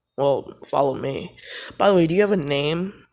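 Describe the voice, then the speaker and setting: This man puts on a character voice. It sits fairly high in pitch. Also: moderate pace, ordinary pitch variation. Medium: read story.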